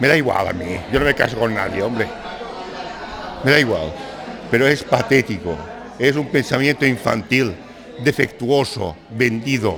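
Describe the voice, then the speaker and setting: A man's medium-pitched voice at a moderate pace, with lively intonation, long and frequent pauses, and music in the background. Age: 60s. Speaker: writer. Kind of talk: panel discussion. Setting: bar with audience. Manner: animated.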